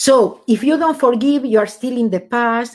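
A woman with a high voice and a Spanish accent speaks at a moderate pace in a very clean recording with a silent background. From Argentina. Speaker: author and former accountant. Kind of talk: interview.

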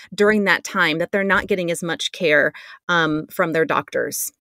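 An ordinary speaking voice belongs to a woman who talks at a moderate pace with ordinary pitch variation, recorded very cleanly against a silent background with a dry, close sound and no echo. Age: 40s. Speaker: podcast host and family therapist. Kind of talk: scripted intro; interview.

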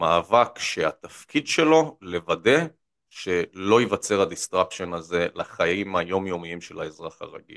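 A man with a fairly low pitch speaks at a fairly slow pace, the sound dry and close with no echo. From central Israel. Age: 30s. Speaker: political economy commentator. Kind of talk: interview. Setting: studio. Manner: energetic; frequent fillers and repetitions.

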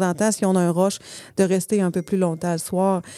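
A woman speaks at medium pitch in a dark, mellow tone. Her pace is fairly quick, and the recording is very clean with a silent background. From Saguenay-Lac-Saint-Jean, Quebec. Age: 40s. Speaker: entrepreneur. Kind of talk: casual interview.

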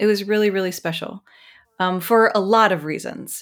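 A woman with an American accent uses a normal speaking voice at a medium pitch. She keeps a moderate pace over a very clean recording with a silent background. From US South, rural Mississippi. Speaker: ethnographer and empathy trainer. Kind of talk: interview conversation.

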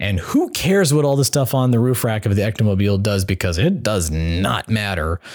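A man with a normal speaking voice, fairly low in pitch, with lively intonation, very even loudness and a fairly quick pace with hardly any pauses. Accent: American. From Colorado. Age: 40s. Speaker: fan content creator and documentary producer. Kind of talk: casual chat.

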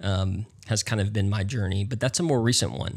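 A man speaks at a moderate pace with an American accent, his voice fairly low and somewhat breathy. The recording is very clean, with a silent background. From US South, North Carolina. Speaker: pastor. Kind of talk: casual interview.

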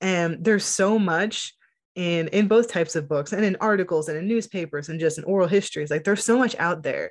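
This is an ordinary speaking voice at a fairly quick pace. Pitch varies in an ordinary way over a quiet background. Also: woman, medium pitch for a woman. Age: 30s. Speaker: journalist and author. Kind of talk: casual interview.

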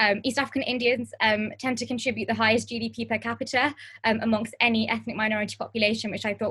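A woman talks at a very fast pace in a London accent. Her fairly high pitch carries vocal fry and monotone, flat intonation. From Harrow, northwest London. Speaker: co-presenter.

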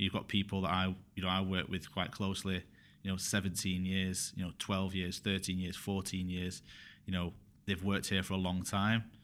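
Heard in a very clean recording with a silent background, a man with a Mancunian accent speaks at a very deep, low pitch in a monotone, flat intonation. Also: moderate pace. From northern England, Bury near Manchester. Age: 30s. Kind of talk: podcast interview. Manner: halting, many fillers.

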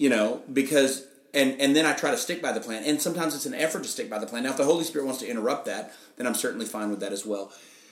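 Through noticeable background noise and audible room echo, a man talks at a very fast pace in a fairly high pitch with ordinary pitch variation. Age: 50s. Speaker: pastor. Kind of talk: casual interview. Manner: halting, many fillers.

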